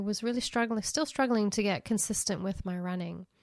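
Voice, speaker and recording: This woman has a plain, everyday voice at a medium pitch, with ordinary pitch variation. The recording is very clean, and the background is silent. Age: 50s. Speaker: podcast host. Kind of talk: casual monologue.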